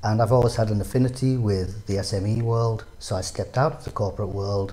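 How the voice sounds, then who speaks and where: With a northeastern English accent, a man speaks at a moderate pace with a fairly low pitch and fairly even intonation. His tone is dark and mellow, and somewhat breathy. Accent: northeastern English twang. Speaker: business advisor. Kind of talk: interview.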